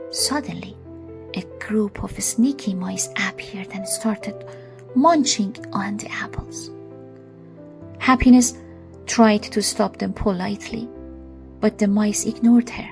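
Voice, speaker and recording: A woman at a fairly slow pace, long, frequent pauses, and music in the background. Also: big swings in loudness. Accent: non-native. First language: not English. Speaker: storyteller. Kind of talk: read story.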